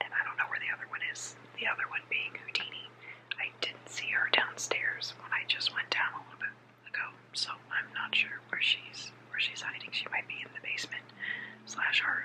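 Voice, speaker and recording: Whispering from a woman at a moderate pace, with noticeable background noise. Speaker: vlogger. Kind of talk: casual ASMR vlog talk to camera. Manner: whispered.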